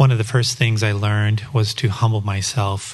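A man's somewhat breathy voice in a monotone, flat intonation. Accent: American. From Colorado, US. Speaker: church member sharing testimony. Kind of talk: testimony. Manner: read from script.

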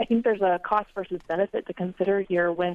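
In a normal speaking voice, a woman talks at a fairly quick pace with a fairly low pitch and fairly even intonation. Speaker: coal industry representative. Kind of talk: call-in comment. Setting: phone call.

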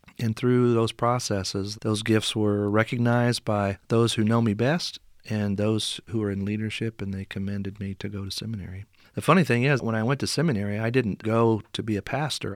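A man with a US Midwestern accent talks at a fairly quick pace and a fairly low pitch, with fairly even intonation. The recording is very clean and silent in the background, with a dry, close sound and no echo. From southern Indiana. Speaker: pastor and seminary professor. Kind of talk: interview.

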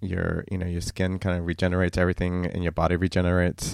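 A man is talking, his pitch very deep and low. The recording is very clean, and the background is silent. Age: 30s. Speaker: podcast host. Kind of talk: casual solo monologue.

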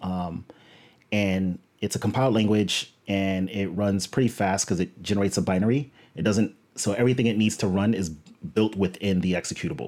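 An ordinary speaking voice from a man, fairly low in pitch, fairly quick, with ordinary pitch variation. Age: 30s. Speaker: engineering director and coding bootcamp instructor. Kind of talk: interview.

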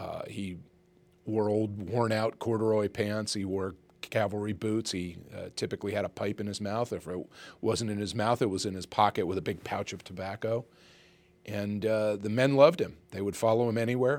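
In a very clean recording with a silent background, a plain, everyday voice speaks at a moderate pace with an American accent and fairly even intonation. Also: man, fairly low pitch for a man. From Pennsylvania (Reading). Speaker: author and historian. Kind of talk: interview.

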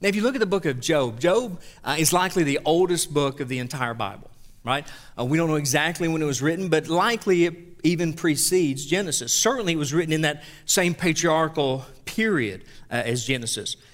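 Here a man speaks with a Southern US accent at a fairly high pitch. His intonation is lively and his pace fairly quick. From US South. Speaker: pastor. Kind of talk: sermon. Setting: church.

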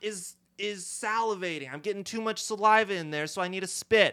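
In a raised, projected voice with a bright, sharp tone, a man speaks at a moderate pace with ordinary pitch variation, the sound dry and close with no echo on a very clean recording with a silent background. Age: 20s. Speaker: comedy podcast guest. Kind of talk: improvised stand-up bits.

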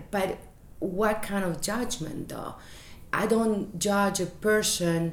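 Over noticeable background noise, a woman with a Chilean accent speaks at a very slow pace with fairly even intonation. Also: medium pitch for a woman. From Chile, Santiago. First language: Spanish. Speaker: business owner. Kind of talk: casual chat. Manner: halting.

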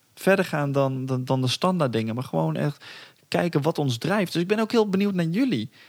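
A man talking at a fairly quick pace with lively intonation. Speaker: podcast host. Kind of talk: casual chat. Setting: outdoors. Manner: fast; halting.

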